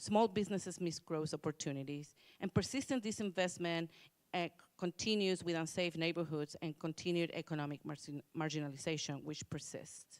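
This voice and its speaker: In a very clean, dry, close recording with no echo and a silent background, a woman speaks in a plain, everyday voice at a fairly quick pace, with a fairly low pitch and ordinary pitch variation. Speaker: commission workgroup presenter. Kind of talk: public hearing presentation.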